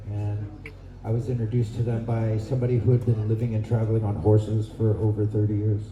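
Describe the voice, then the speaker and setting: Amid audible room echo, a man speaks very fast in a fairly low, monotone pitch with flat intonation. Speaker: horseback traveler and traditional foods forager. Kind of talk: speech to an outdoor gathering. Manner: soft-spoken.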